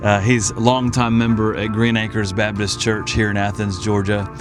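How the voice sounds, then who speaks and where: Music plays behind a man speaking at a fairly quick pace. His fairly low voice holds a fairly even intonation. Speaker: church podcast host. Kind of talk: casual interview questions. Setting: outdoors.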